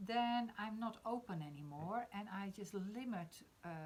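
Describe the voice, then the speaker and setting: A somewhat breathy woman's voice with a Dutch accent. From Netherlands. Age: 50s. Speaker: spiritual discussion host. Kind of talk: casual discussion on live stream. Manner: halting, many fillers.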